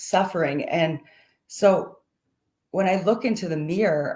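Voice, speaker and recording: Using an ordinary speaking voice, a woman talks at a moderate pace and a fairly low pitch. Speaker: mental health advocate. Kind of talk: personal testimony talk.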